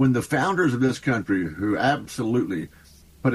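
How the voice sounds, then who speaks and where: Speaking with a Texan accent, a man at medium pitch moves through very wide pitch swings at a moderate pace. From Texas. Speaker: congressman. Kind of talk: radio interview.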